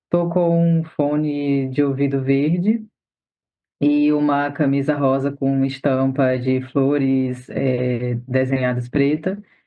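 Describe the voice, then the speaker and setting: Speaking at a very slow pace, a man with a fairly high pitch keeps his intonation fairly even and his loudness very even. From Northeast Brazil. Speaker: doula and activist. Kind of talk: interview.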